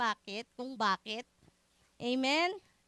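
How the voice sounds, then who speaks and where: A woman's bright, sharp, raised and projected voice at a very slow pace, with very wide pitch swings and a dry, close sound with no echo. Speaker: preacher. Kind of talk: sermon. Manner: loud.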